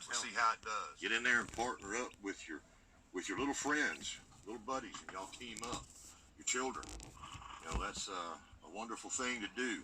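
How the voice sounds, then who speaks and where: Noticeable background noise runs under a man's voice. He speaks at a fairly quick pace, with long, frequent pauses. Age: 50s. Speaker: gardening YouTuber. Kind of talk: casual vlog talk.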